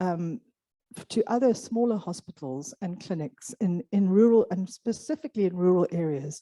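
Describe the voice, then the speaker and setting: In an Afrikaans accent, a woman at medium pitch speaks at a moderate pace with lively intonation and big swings in loudness. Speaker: clubfoot programme organizer. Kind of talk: conference presentation.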